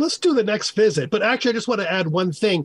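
Here a man talks in a New York accent at a high pitch. The sound is dry and close, with no echo. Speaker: language author. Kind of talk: call-in radio show. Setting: remote call-in.

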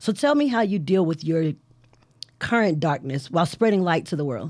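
Speaking with an American accent, a woman with a fairly low pitch talks at a fairly quick pace in an animated tone. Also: very clean recording, silent background. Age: 40s. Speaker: podcast host. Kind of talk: interview.

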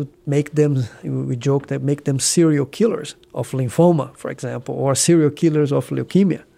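In a very clean recording with a silent background, a man with a Brazilian accent talks at a moderate pace in a fairly high pitch, his tone dark and mellow and his pitch variation ordinary. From southeast Brazil. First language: Portuguese. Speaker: cancer physician. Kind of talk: interview.

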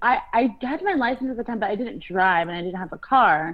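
Lively in intonation and moderate in pace, a woman talks in an ordinary speaking voice. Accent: American. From California, Los Angeles. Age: 20s. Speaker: podcast co-host. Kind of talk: casual chat.

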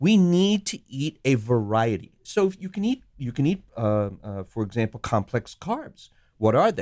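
Recorded with a dry, close sound and no echo, a man at a medium pitch makes very wide pitch swings. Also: moderate pace. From Sri Lanka. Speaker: physician. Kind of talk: interview.

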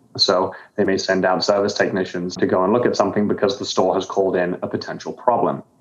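Amid noticeable background noise, a man talks at a very fast pace and fairly low pitch, with fairly even intonation and very even loudness. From grew up abroad, born in the UK. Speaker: software company founder and CEO. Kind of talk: interview. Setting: remote call into virtual studio.

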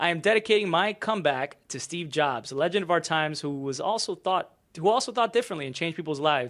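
On a very clean recording with a silent background, a man speaks at a high pitch. He talks at a very fast pace with lively intonation. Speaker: YouTuber. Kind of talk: reading aloud a post. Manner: casual, conversational.

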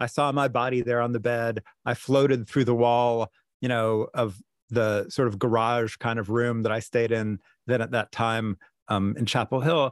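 Recorded with a dry, close sound and no echo, a man with a plain, everyday voice talks at a moderate pace, medium pitch and fairly even intonation. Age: 50s. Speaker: Buddhist writer and meditation teacher. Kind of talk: interview.

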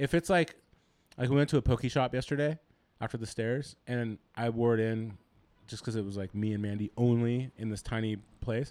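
A plain, everyday voice from a man, medium in pitch with ordinary pitch variation, at a moderate pace, dry and close with no echo, in a very clean recording with a silent background. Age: 30s. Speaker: podcast co-host, gym owner and coach. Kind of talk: casual chat.

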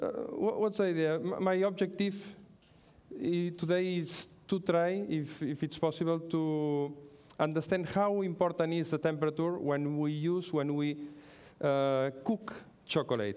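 Speaking fairly slowly in a high pitch, a man with a Catalan accent keeps ordinary pitch variation and very even loudness. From Catalonia, Spain. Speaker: pastry chef. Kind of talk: lecture with cooking demonstration. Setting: stage with audience. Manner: halting.

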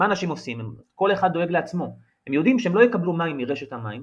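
Here a man speaks with a high pitch. His voice makes very wide pitch swings. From Israel. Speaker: journalist. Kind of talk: interview.

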